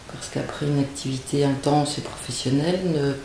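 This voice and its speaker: A woman's very deep, low voice at a moderate pace, with noticeable background noise and audible room echo. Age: 60s. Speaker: dancer. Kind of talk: interview testimony. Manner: halting.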